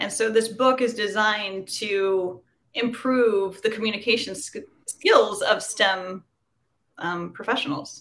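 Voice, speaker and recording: Fairly slow and fairly high, a woman's voice shows ordinary pitch variation. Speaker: veterinarian and author. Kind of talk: interview. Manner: practiced public speaker.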